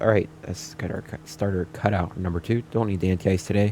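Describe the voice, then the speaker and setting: A man speaks at a fairly quick pace in a very deep, low voice with ordinary pitch variation, and there is noticeable background noise. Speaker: flight sim YouTuber. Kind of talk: casual gameplay commentary with checklists. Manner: fast.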